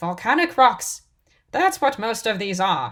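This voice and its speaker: Put-on character voice with very wide pitch swings at a fairly slow pace, on a very clean recording with a silent background. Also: woman. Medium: read story. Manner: crisp, matter-of-fact.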